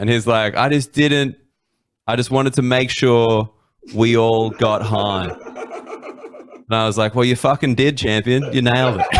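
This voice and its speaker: A man with an Australian accent talks at a medium pitch, his loudness very even and his pitch varying an ordinary amount. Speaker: comedian. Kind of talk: storytelling. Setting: live stream.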